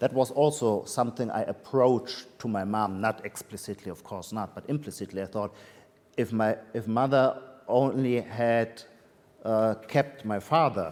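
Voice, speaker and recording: In a German accent, a man speaks at a moderate pace with a medium pitch and fairly even intonation. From Germany, Heidelberg. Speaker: literary critic and author. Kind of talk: Q&A at a reading event. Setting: hybrid event with audience. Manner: halting, many fillers.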